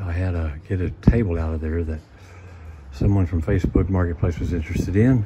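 A man at a very fast pace with ordinary pitch variation, over loud background noise. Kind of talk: casual vlog chat. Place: garage. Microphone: phone near.

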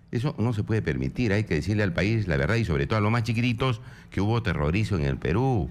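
Racing along at a very fast pace, a man with a fairly low, vocal-fry voice makes very wide pitch swings. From Peru, Puno. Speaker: congressman. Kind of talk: political radio interview. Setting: radio studio.

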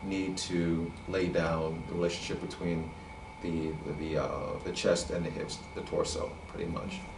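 A man speaking at a very slow pace over noticeable background noise. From US, New York City. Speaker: animator and illustrator; drawing instructor. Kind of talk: drawing tutorial. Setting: online session. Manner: halting, many repeated words and fillers. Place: studio.

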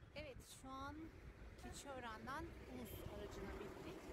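A woman talks at a very slow pace in a dry recording with no echo. Loud background noise runs underneath. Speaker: vlogger. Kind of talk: casual vlog chat. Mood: cheerful, relaxed. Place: street. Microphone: phone near.

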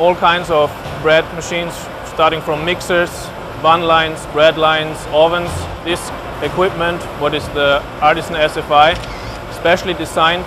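A man's flat, monotone voice over noticeable background noise. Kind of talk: interview answer. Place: factory. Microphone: lapel.

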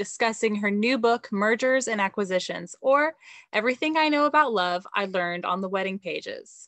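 The speech moves at a fairly quick pace. The sound is dry with no echo, and the background is quiet. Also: woman. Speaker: bookstore event host. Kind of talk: scripted event introduction. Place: home room. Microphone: video call.

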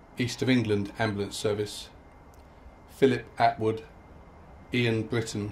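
Light background noise sits behind a man speaking at a very slow pace. His voice is somewhat breathy, with monotone, flat intonation. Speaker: ceremony reader. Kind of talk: solemn reading of names. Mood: solemn, measured. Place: open country. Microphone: podium.

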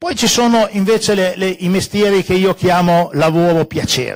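A man with a fairly high pitch against a quiet background. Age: 70s. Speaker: economics professor. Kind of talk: panel talk. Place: hall. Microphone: handheld.

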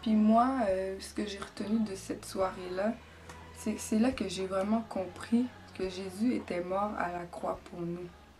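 At a very slow pace, a woman speaks with a Quebec accent over light background noise. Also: medium pitch for a woman, fairly even intonation. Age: 20s. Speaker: church member giving baptism testimony. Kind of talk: testimony. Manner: hesitant, with many fillers. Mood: earnest, calm, reflective. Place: empty room. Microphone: camera far.

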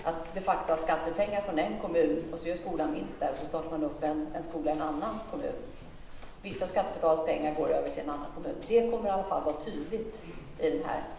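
A woman's fairly low voice at a very fast pace, with audible room echo and light background noise. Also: ordinary pitch variation. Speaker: politician answering a question. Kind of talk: speech answering an audience question. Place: hall.

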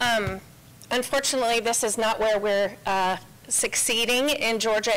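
Here is a woman with an unremarkable speaking voice. Her intonation stays fairly even. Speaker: policy institute president; presenter. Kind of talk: committee testimony. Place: hall. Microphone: podium.

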